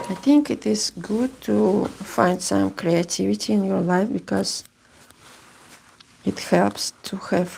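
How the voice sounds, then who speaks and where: A woman with a Russian accent speaks at a very slow pace. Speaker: seamstress. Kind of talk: sewing vlog. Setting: home sewing room. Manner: halting. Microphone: new microphone.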